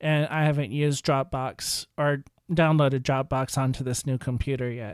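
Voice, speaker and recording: An ordinary speaking voice from a man at medium pitch and moderate pace, with fairly even intonation, on a very clean recording with a silent background. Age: 40s. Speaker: tech podcast host. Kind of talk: solo podcast review. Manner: casual.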